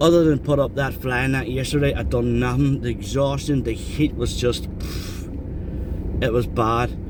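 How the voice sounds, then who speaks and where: Speaking with an Irish accent, a man is heard with audible room echo and noticeable background noise. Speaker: travel vlogger. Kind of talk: casual vlog narration. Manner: fast.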